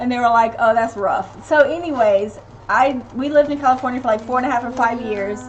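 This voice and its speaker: A woman talks at a moderate pace with a high pitch and fairly even intonation, noticeable noise sounding in the background. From US South, Tennessee (Knoxville). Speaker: family channel live streamer, parent. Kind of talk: casual live stream chat reading comments.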